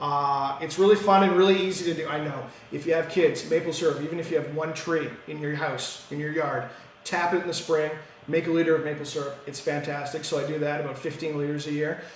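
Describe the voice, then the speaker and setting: A man with a Canadian accent talks at a very fast pace and a fairly high pitch. Audible room echo and noticeable background noise fill the clip. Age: 30s. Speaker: municipal councillor. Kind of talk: casual interview. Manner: energetic.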